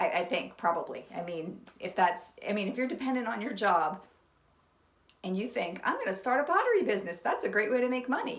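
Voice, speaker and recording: A woman with an American accent talks at a fairly quick pace with lively intonation, with audible room echo and noticeable background noise. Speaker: potter and pottery vlogger. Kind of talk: casual talk to camera.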